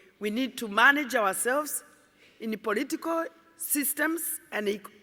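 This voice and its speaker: A woman's raised, projected voice with a Kenyan accent, bright and sharp in tone, at a moderate pace with ordinary pitch variation. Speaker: environmentalist. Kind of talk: conference speech.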